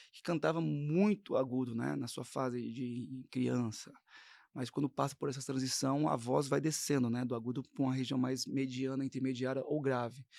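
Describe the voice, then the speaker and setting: An unremarkable speaking voice moves at a moderate pace with ordinary pitch variation. The recording is very clean, the background silent. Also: man, medium pitch for a man. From São Paulo, Brazil. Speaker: gospel singer and voice teacher. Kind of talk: interview.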